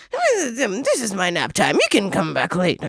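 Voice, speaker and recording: A put-on character voice is pitched fairly high. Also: moderate pace. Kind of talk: mumbling drawl. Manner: sleepy, drawling, lazy.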